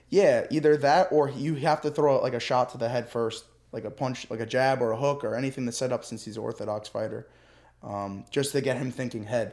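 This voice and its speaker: A man with an American accent speaks in an ordinary speaking voice at a medium pitch and a fairly quick pace. His pitch variation is ordinary, and the recording is very clean with a silent background. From New Jersey, US. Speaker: MMA fighter. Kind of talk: casual chat. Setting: studio.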